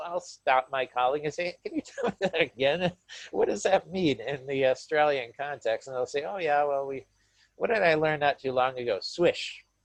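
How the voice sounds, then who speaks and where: A man with a Midwestern US accent, at a moderate pace, with ordinary pitch variation. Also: dry, close sound with no echo. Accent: American Midwestern English. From US Midwest, Michigan. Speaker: university lecturer. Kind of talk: webinar talk. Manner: hesitant, repeats words.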